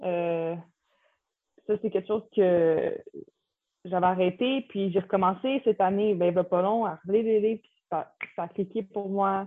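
A woman talks at a fairly slow pace and medium pitch, with long, frequent pauses. Her intonation is fairly even, but her loudness swings widely. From Quebec, Repentigny. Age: 20s. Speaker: college basketball player. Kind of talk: interview. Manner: halting.

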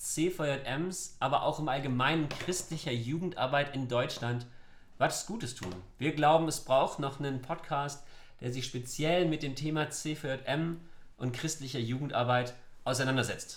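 A plain, everyday voice from a man, fairly high in pitch, at a fairly slow pace with ordinary pitch variation. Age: 30s. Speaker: youth work officer, podcast co-host. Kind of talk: podcast intro, semi-scripted.

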